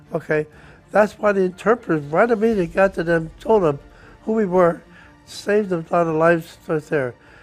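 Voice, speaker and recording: Over music in the background, a man talks at a moderate pace in a high pitch, with ordinary pitch variation. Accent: American. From New Jersey. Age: 80s+. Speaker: war veteran. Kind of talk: interview answer.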